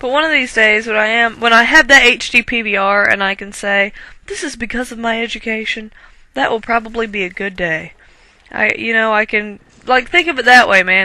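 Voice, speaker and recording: With a strong Southern US accent, a woman talks at a fairly quick pace in a fairly high pitch, her tone bright and sharp and her pitch variation ordinary. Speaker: gaming commentator. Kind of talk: gameplay commentary. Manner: casual, rambling with fillers.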